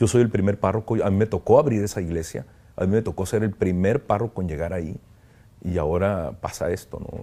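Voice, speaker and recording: A man speaks at a fairly quick pace in a fairly low pitch. His tone is dark and mellow, with ordinary pitch variation. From Tijuana, northern Mexico; northern Mexico. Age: 50s. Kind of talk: interview testimony. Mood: reflective, emotional, grateful. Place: home room. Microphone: lapel.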